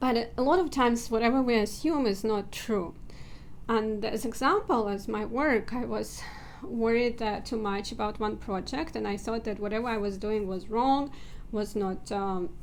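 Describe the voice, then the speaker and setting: Audible room echo surrounds a woman speaking at a moderate pace, her pitch fairly high with ordinary variation. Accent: non-native. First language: not English. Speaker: self-help video creator. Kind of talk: personal vlog talk. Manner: hesitant, with filler words.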